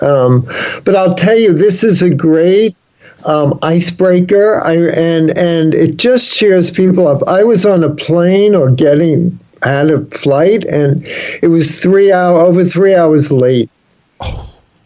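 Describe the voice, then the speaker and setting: Someone with a New York accent speaks at a very slow pace with ordinary pitch variation. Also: man, high pitch for a man. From New York City (the Bronx). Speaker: humor speaker and author. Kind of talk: interview. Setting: video call.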